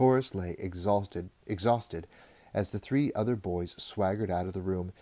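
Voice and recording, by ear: Out loud and in a natural voice, a passage is being read.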